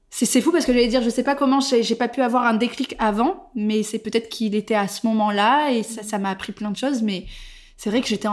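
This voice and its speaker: A woman's fairly high voice, a normal speaking voice, with ordinary pitch variation and a moderate pace. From southwestern France, Bordeaux. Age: 30s. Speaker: content creator. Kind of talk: casual chat. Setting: face to face at home.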